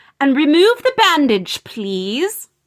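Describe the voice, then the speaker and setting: A woman puts on a character voice, high in pitch. It moves in very wide pitch swings. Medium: read story. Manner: brisk, precise.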